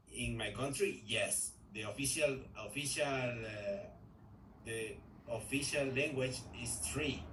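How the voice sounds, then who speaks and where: Speaking very slowly in a room with audible echo, a man keeps a medium pitch and fairly even intonation. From Ecuador. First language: Spanish. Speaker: English learner in a group class. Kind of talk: language class conversation practice. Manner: halting, with many repetitions and fillers.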